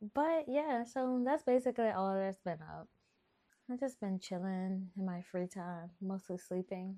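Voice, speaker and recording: A woman with a slight New Orleans accent speaks at a fairly slow pace. Her tone is dark and mellow, and her intonation is lively. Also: medium pitch for a woman, dry, close sound with no echo. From Texas. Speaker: podcast host. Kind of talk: casual chat. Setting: home, bedroom. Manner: animated.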